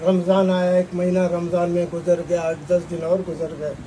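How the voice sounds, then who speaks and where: Noticeable background noise behind a man's high voice. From Pakistan, Balochistan. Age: 70s. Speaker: lawyer and lawyers' movement leader. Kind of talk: political speech to a gathering. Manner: fiery, passionate, forceful.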